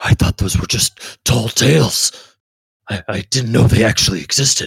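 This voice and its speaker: A man does a raspy, put-on character voice at a medium pitch and moderate pace. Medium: actual play. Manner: hesitant, earnest.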